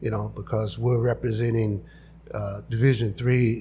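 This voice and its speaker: Somewhat breathy, with a dark, mellow tone, a man speaks at a medium pitch and moderate pace. He has an American accent and a monotone, flat intonation. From Imperial Valley, Southern California. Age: 60s. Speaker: candidate for a local utility board. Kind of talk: interview.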